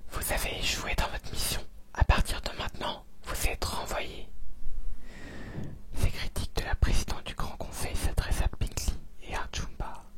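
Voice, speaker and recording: Amid noticeable background noise, a man whispers in a calm tone at a fairly slow pace, with long, frequent pauses. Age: 20s. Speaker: ASMR content creator. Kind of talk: ASMR bedtime story reading. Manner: soft, calm, relaxing.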